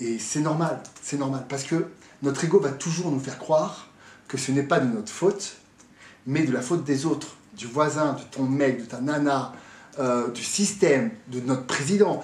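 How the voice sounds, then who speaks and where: With audible room echo, a man with a fairly high pitch and ordinary pitch variation talks at a fairly slow pace. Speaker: fitness coach and motivational speaker. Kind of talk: motivational talk to camera. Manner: animated.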